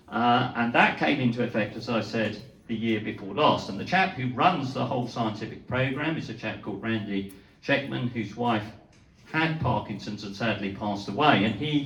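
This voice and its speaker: A medium-pitched man talks at a moderate pace with ordinary pitch variation, with audible room echo and noticeable background noise. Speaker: neurologist. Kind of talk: lecture. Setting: talk to a live audience. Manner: hesitant, with fillers.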